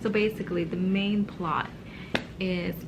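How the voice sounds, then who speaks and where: A woman speaks at a very slow pace. Her voice is somewhat breathy. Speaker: book vlogger. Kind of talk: casual vlog. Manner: speaking low, early morning.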